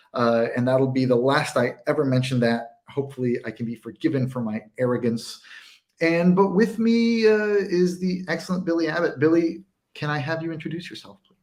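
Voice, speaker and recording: Using lively intonation and big swings in loudness, a man with an American accent and a fairly high pitch speaks at a moderate pace in an unremarkable speaking voice. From United States. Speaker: whisky writer and tasting host. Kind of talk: livestream charity tasting intro. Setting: livestream.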